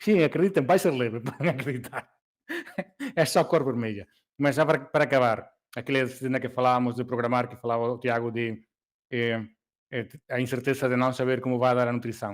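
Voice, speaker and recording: Long, frequent pauses break up a man's fairly quick speech. His pitch is medium, with ordinary variation. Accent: non-native. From Galicia, Spain. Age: old. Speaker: race organizer. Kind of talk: casual chat. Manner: hesitant, many fillers.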